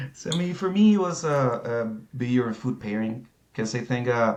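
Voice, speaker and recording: A man speaks with a Spanish accent at a fairly quick pace. His pitch varies in an ordinary way. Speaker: certified beer professional. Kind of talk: interview. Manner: halting.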